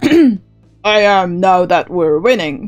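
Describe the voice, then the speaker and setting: Faint music plays behind a put-on character voice pitched in the middle range. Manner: not very rugged.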